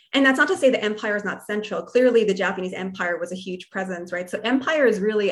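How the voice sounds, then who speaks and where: With an American accent, a woman speaks at a very fast pace, her medium pitch showing ordinary variation over noticeable background noise. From New Jersey, US. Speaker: history professor and author. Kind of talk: interview conversation. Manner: casual with frequent fillers.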